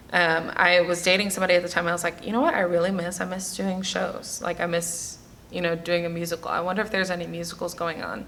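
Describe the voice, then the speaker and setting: A woman talks at a very fast pace in a fairly low pitch, her intonation monotone and flat. Audible room echo surrounds her voice. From New York, the Bronx. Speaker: actress and singer. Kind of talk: interview.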